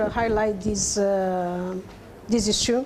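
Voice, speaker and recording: A woman's very slow speech with a Portuguese accent and fairly even intonation, amid noticeable background noise and audible room echo. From Cape Verde. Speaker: academic discussant. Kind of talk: conference panel comment. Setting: conference panel session. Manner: halting, many fillers.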